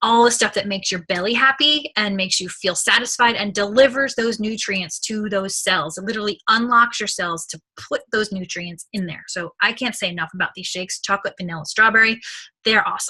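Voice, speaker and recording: A woman speaks at a fairly quick pace with hardly any pauses, her fairly high pitch showing ordinary variation. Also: big swings in loudness. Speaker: nutrition product distributor. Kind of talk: sales pitch. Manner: fast; animated.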